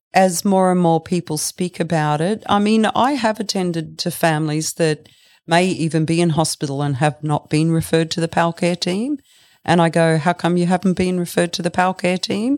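In an Australian accent, a woman talks at a fairly quick pace with a fairly low pitch. Her pitch variation is ordinary, and the recording is very clean with a silent background. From Australia, Brisbane. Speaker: funeral director. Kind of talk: interview.

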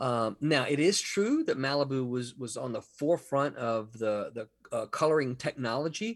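Speaking with a Southern US accent, a man uses lively intonation at a fairly slow pace. His pitch sits fairly high for a man. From Mississippi. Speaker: comic book writer and editor. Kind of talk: interview.

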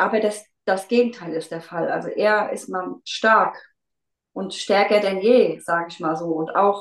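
At a fairly slow pace, a woman with an unremarkable speaking voice talks with ordinary pitch variation. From Rheinhessen near Mainz, Germany. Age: 40s. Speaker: kindergarten teacher and amateur runner. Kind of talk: casual interview.

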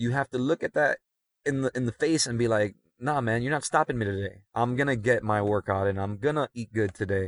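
A man's normal speaking voice with an American accent, medium in pitch, at a fairly quick pace with ordinary pitch variation, dry and close with no echo over a quiet background. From Miami, Florida (Cuban American family). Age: 30s. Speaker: special-needs educator and coach. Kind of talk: casual chat. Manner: frequent fillers and self-repeats.

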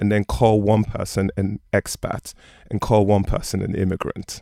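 The voice is monotone and flat at a moderate pace, with a dry, close sound, no echo and a very clean recording over a silent background. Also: man. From London and Nigeria (Yoruba). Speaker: PR manager and author. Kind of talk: interview.

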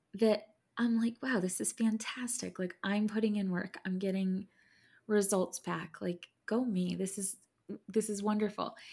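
At a fairly slow pace, a woman talks in a somewhat breathy, dark, mellow tone at a medium pitch. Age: 30s. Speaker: podcast co-host. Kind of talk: casual chat. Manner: animated.

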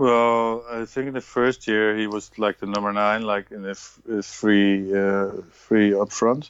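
A man speaks with a Dutch accent at a fairly slow pace. His intonation is monotone and flat. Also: fairly low pitch for a man. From Netherlands, Emmen. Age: 40s. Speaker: retired footballer and coach. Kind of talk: interview.

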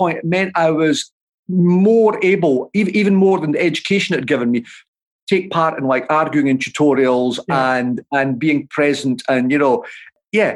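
At a moderate pace, a man with a Dundee accent speaks at a high pitch with lively intonation. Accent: Scottish (Dundee). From Scotland, Dundee. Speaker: author and political commentator. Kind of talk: interview.

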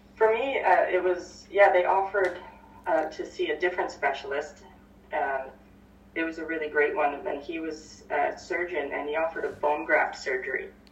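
Against noticeable background noise, someone with a Canadian accent speaks at a moderate pace with ordinary pitch variation. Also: woman, fairly low pitch for a woman. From Victoria, British Columbia, Canada. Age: 30s. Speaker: holistic healer and mindset coach. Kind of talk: casual interview.

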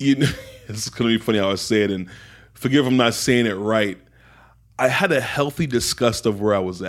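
A man's medium-pitched voice with ordinary pitch variation and long, frequent pauses. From England, raised in Miami from about age 10. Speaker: teacher, spoken-word artist and entrepreneur. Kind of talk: casual interview conversation. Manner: casual, warm, uses slang like bro and man.

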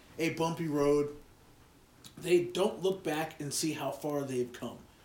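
A fairly high-pitched male voice with ordinary pitch variation and audible room echo. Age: 30s. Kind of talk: casual chat.

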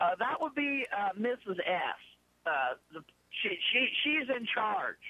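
Her high voice swings very widely in pitch while its loudness stays very even, at a very slow pace with long, frequent pauses. Noticeable background noise sits behind the woman. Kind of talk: casual chat, storytelling. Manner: animated, profane.

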